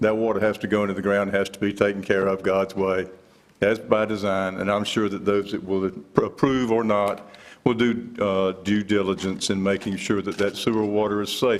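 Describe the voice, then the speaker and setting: Monotone and flat in intonation, a moderate pace, and a fairly low pitch from a man. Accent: American. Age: 70s. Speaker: local resident speaking at public hearing. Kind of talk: public hearing testimony. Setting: county board meeting.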